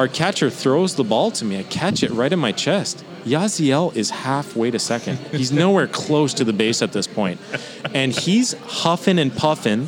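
Over music in the background, a man with a fairly high pitch and very wide pitch swings talks at a moderate pace. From Ottawa, Canada. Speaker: former professional baseball player. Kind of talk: casual interview chat.

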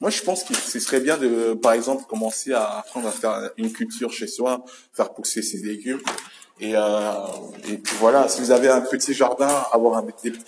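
Noticeable background noise sits behind the speaker. The pace is moderate, and the pitch varies in an ordinary way. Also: man, medium pitch for a man. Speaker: solo podcaster. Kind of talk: casual monologue. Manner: halting.

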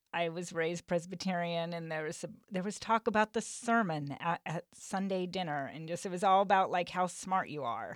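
Dry, close sound with no echo carries a woman's normal speaking voice, fairly low in pitch with ordinary variation, at a moderate pace. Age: 40s. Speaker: podcast host. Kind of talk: casual interview chat. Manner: laughs often.

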